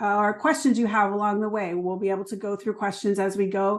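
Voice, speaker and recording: A woman speaks at a fairly high pitch with a slight New Jersey accent. The background is quiet. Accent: New Jersey accent, slight but returning. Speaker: trauma therapist and educator. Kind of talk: online workshop presentation. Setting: video call. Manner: filler-heavy, conversational.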